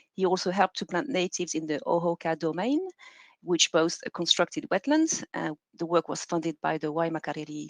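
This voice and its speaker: French accent, moderate pace, and a dry, close sound with no echo. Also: woman. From France, Normandy. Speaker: PhD researcher. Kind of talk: conference presentation.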